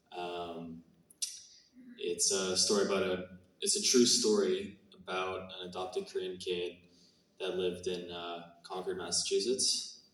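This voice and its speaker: A man talks fairly slowly, leaving long and frequent pauses, while noticeable background noise runs underneath. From Canada. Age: 20s. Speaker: actor. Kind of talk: Q&A interview. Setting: stage with audience. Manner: hesitant, many fillers.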